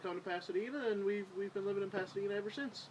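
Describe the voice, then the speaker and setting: A man talks at a very fast pace in a Newfoundland accent. His intonation is lively. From Newfoundland, Corner Brook. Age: 20s. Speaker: police officer, council candidate. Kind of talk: interview.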